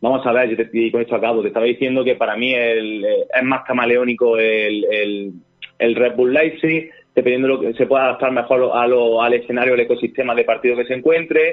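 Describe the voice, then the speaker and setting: This is a normal speaking voice. It moves at a fairly quick pace with fairly even intonation. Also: man, medium pitch for a man. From Andalusia, Jaén. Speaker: football analyst and film radio host. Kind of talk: casual football talk.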